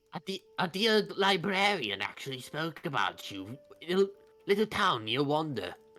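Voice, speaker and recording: A man doing a put-on character voice, high-pitched, at a moderate pace. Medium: actual play. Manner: formal, polite.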